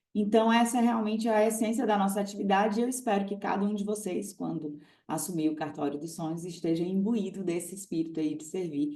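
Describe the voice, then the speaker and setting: A woman's dark, mellow tone at a fairly quick pace, with ordinary pitch variation and audible room echo. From Brazil, Ceará (Fortaleza). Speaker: notary and exam-prep course teacher. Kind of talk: live stream talk to students. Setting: online live stream. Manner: conversational, animated.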